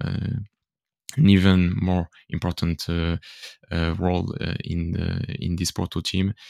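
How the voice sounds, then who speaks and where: With a French accent, a man talks at a moderate pace in a very deep, low pitch, the sound dry and close with no echo. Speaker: football podcaster. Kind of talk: casual chat. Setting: video call. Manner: halting.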